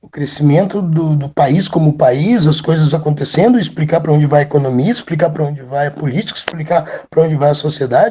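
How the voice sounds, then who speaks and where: The speech moves at a moderate pace with ordinary pitch variation and big swings in loudness. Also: man. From Rio Grande do Sul, Brazil (Charqueadas). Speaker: rock singer and history teacher. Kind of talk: casual interview chat. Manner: trained, controlled speaking voice; animated.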